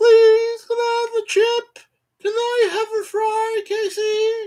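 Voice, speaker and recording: The put-on character voice sits at an extremely high pitch, moving very slowly in a flat monotone. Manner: pleading.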